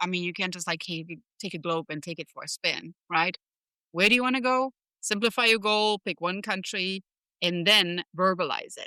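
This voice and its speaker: The voice has a German accent and a bright, sharp tone. The sound is dry and close, with no echo. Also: woman. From Germany. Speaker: leadership strategist and professor. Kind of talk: podcast interview.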